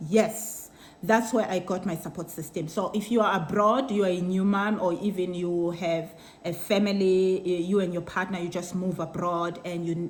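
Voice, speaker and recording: Fairly even intonation runs through a woman's medium-pitched voice at a moderate pace. She has a South African accent, and audible room echo can be heard. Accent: Xhosa South African English. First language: Xhosa. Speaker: vlogger. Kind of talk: casual chat. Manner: code-switching between Xhosa and English; halting.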